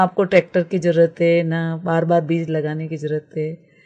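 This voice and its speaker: A woman speaks at a moderate pace with a fairly low pitch against a quiet background. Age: 60s. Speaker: permaculture trainer. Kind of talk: radio interview. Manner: halting, many fillers.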